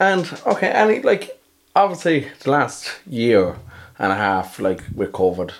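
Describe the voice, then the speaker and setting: Speaking with an Irish accent, a man swings his pitch very widely. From Ireland. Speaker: podcast host. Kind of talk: interview.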